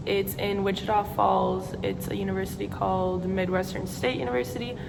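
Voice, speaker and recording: A woman speaks with an American accent. Noticeable background noise and audible room echo are present. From Wisconsin, near Milwaukee. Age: young. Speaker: vlogger, college student. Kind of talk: get-to-know-me vlog, casual Q&A.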